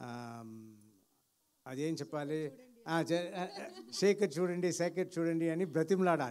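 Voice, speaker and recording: Fairly even intonation marks a man's high-pitched speech. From India. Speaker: film actor. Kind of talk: public speech at film event. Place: stage. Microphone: handheld.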